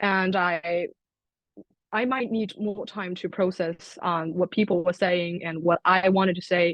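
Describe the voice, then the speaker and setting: A woman speaks with a Chinese accent at a fairly slow pace. Her pitch is medium and her intonation fairly even. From China. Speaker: international student. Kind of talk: panel discussion.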